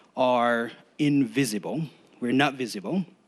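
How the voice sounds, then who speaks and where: With a non-native accent, a man talks with ordinary pitch variation. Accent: foreign. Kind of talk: public testimony. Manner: halting.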